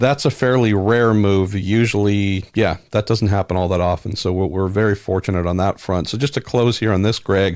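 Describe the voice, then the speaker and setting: A man with an unremarkable speaking voice talks at a moderate pace, low-pitched with fairly even intonation. The recording is very clean, with a silent background. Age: 40s. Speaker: podcast host. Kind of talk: podcast chat.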